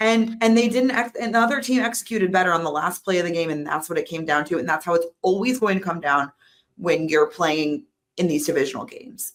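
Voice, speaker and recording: In a put-on character voice, the speaker is loud and raspy at a middle pitch and rattles along at a very fast pace. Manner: loud, raised voice.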